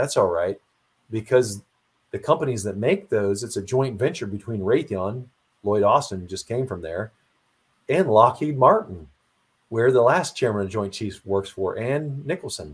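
A man with an American accent speaks at a medium pitch, somewhat breathy. He leaves long, frequent pauses on a very clean recording with a silent background. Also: lively intonation, moderate pace. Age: old. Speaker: retired Marine officer and author. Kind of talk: interview.

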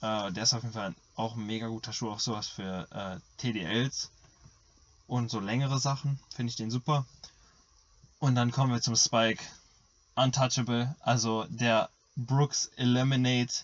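A man with a medium pitch and fairly even intonation talks at a moderate pace, leaving long, frequent pauses. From Germany. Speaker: podcast co-host and middle-distance runner. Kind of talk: casual chat.

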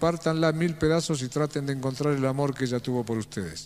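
Moderate pace, ordinary pitch variation and an ordinary speaking voice from a man. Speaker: inspirational speaker. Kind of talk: motivational talk.

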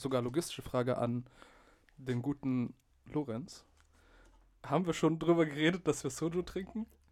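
The man's pitch is fairly high, with ordinary variation. He keeps a moderate pace broken by long, frequent pauses. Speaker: podcast host, media art student. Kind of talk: casual chat.

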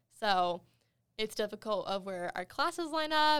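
Her voice an ordinary speaking voice with an American accent, a woman speaks with lively intonation at a fairly high pitch in a very clean recording over a silent background. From Wyoming, US. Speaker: university student. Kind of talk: casual chat.

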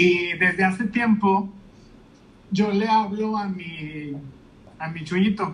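Leaving long, frequent pauses, a man with a Mexican accent and a high pitch speaks at a very slow pace. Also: fairly even intonation. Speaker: podcast host. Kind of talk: casual interview chat. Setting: Instagram live video call.

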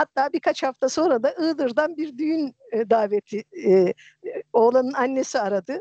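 A woman's high-pitched voice with a dark, mellow tone and lively intonation. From Turkey, Erzincan. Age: 50s. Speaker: storyteller and translator, retired geologist. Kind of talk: casual chat. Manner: hesitant with many fillers.

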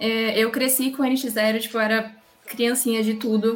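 The woman's voice sits at a fairly high pitch. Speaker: podcast host. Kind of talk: casual interview.

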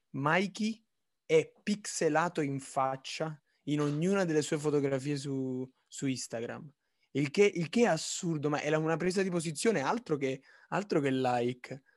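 Against a quiet background, a man with an unremarkable speaking voice talks at a fairly slow pace, with fairly high pitch and ordinary pitch variation. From Naples. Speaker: podcast co-host, design student. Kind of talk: casual chat.

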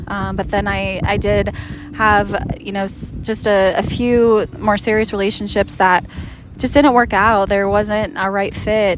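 Over noticeable background noise, a woman speaks at medium pitch and a moderate pace. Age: 40s. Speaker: relationship coach. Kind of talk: casual chat. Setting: outdoors on a beach.

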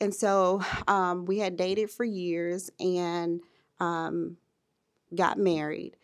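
A woman with an American accent, fairly low pitch, monotone and flat intonation, a very slow pace and long, frequent pauses. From US South, Birmingham, Alabama. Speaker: IT professional and mother. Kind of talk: interview, casual chat.

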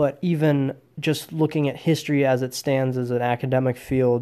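Speaking at a moderate pace with an American accent, a man uses a dark, mellow tone, a fairly high pitch and monotone, flat intonation. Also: very clean recording, silent background. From US Midwest, Wisconsin. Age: 20s. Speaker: podcast host. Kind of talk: solo podcast monologue.

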